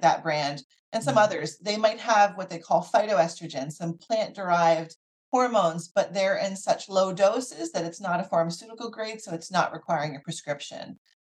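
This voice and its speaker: In an American accent, a woman with a normal speaking voice talks at a moderate pace and a medium pitch, with ordinary pitch variation and big swings in loudness. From US Northeast, Philadelphia area. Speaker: physician (OB/GYN). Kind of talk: interview.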